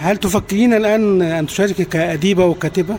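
A moderate pace and fairly even intonation amid noticeable background noise. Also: man. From Egypt. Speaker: radio host. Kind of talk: interview.

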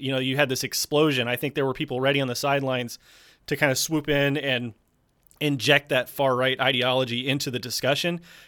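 In a very clean recording with a silent background, a man with a fairly high pitch and a bright, sharp tone speaks at a fairly quick pace in a monotone, flat intonation. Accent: American. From US South, South Carolina. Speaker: YouTuber. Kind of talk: interview.

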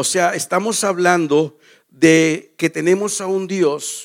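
In a very clean recording with a silent background, a man speaks in a high voice with fairly even intonation. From Mexico. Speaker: pastor. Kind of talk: sermon. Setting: church.

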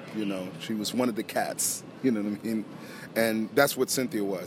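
A man with an unremarkable speaking voice and an American accent speaks at a medium pitch with ordinary pitch variation. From US, Philadelphia. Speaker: guitarist. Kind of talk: interview. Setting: poolside at a hotel.

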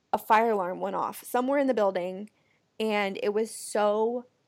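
An unremarkable speaking voice with an American accent, ordinary pitch variation and a fairly slow pace, on a very clean recording with a silent background. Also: woman. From US Pacific Northwest (Portland, Oregon area). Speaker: podcast co-host. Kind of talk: casual chat.

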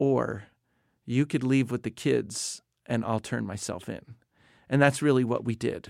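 In a very clean recording with a silent background, a man with an ordinary speaking voice talks at a fairly slow pace, his medium pitch showing ordinary variation. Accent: American. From US Northeast, New Jersey. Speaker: missionary leader. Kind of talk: interview. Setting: studio.

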